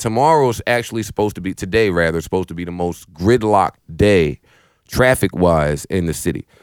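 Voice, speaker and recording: Recorded very cleanly against a silent background, a man speaks in an animated tone with a dry, close sound and no echo. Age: 30s. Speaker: podcast host. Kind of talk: casual chat. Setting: studio.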